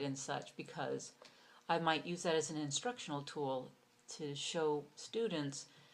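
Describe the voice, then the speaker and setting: Very deep, low pitch from a woman, its variation ordinary. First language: Hungarian. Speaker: university instructor. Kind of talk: course self-introduction video. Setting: recorded video for online class. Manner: casual with frequent fillers.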